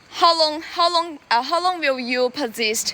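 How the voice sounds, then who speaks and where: A woman with a Chinese accent in a raised, projected voice, fairly slow in pace and lively in intonation, over noticeable background noise. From China. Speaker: livestreamer. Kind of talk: live stream chat while jogging. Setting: outdoors. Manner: halting.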